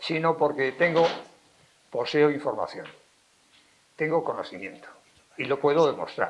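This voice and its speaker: Delivery is fairly slow, with long, frequent pauses. Pitch variation is ordinary. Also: man, fairly high pitch for a man. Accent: Castilian. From Spain, Valladolid (Castile). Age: 70s. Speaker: lecturer, philologist and writer. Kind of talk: public lecture. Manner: animated, emphatic.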